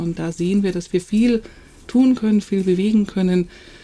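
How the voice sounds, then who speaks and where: A woman speaks at a fairly quick pace in a dark, mellow tone. Her intonation stays fairly even. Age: 50s. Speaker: nonprofit founder. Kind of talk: podcast interview.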